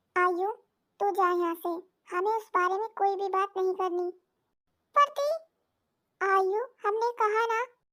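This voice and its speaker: Using a put-on character voice, the speaker moves at a moderate pace with long, frequent pauses. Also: woman, extremely high pitch for a woman. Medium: read story. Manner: formal, humble "hum" self-reference.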